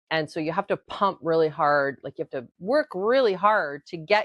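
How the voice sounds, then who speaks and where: The woman's voice sits fairly low in pitch. She talks at a moderate pace. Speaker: podcast host. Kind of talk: casual talk to camera. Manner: ranting, frustrated.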